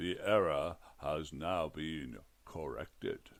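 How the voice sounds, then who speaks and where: A man uses a put-on character voice that is booming and very deep, with a very low pitch. He speaks at a very slow pace. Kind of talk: comic fantasy narration. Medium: read story. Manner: formal, bureaucratic, dry.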